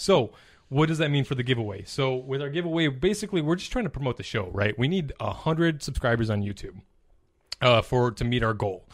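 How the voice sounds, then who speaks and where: An unremarkable speaking voice from a man at medium pitch with an American accent, lively intonation and a fairly quick pace, in a very clean recording with a silent background. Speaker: fantasy football podcast host. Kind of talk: casual chat about fantasy football.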